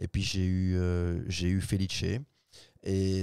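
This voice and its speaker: A man speaks with a very deep, low pitch and a dark, mellow tone. The sound is dry with no echo, over a quiet background. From Belgium. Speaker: former footballer; guest. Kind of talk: interview. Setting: studio. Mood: relaxed, reflective. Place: studio. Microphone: studio mic.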